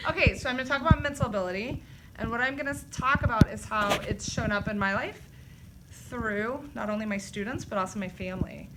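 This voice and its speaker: A woman's fairly high voice at a very fast pace, with ordinary pitch variation over noticeable background noise. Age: 40s. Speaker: teacher. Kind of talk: personal reflection in a school video.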